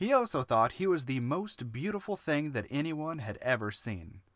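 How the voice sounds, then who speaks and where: A slight Southern US accent at a moderate pace, very wide pitch swings, on a very clean recording with a silent background. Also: man. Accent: slight Southern creeping in. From US South (Alabama, Georgia), moved there from elsewhere at seven. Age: 30s. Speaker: podcast co-host and writer. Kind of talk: casual chat; reading aloud own story.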